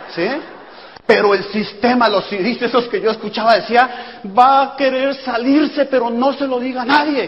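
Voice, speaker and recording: Noticeable background noise and audible room echo surround a man whose extremely high pitch shows ordinary variation as he speaks at a moderate pace. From Colombia. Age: 40s. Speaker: network marketing speaker. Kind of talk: motivational talk. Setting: stage with audience.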